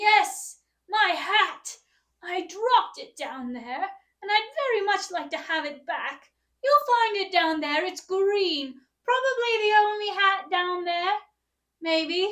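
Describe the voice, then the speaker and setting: A woman's put-on character voice, raised and projected, extremely high-pitched and at a fairly slow pace. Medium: read story. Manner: falsely sweet, coaxing.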